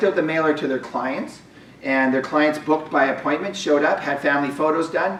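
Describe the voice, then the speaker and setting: A man's fairly high voice at a fairly quick pace, with noticeable background noise and audible room echo. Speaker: business coach for realtors. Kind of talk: webinar presentation. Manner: fast.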